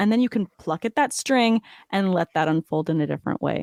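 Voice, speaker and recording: With a Californian accent, a woman speaks at medium pitch and a fairly quick pace with lively intonation. The recording is very clean and dry, close with no echo, over a silent background. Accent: General American (Californian). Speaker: fantasy football podcaster. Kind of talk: podcast interview.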